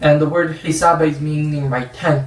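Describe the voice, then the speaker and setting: With an American accent, a man speaks at a moderate pace in a fairly high pitch. Background noise is noticeable. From San Jose, California, USA. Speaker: Islamic scholar and Quran teacher. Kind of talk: religious lecture class.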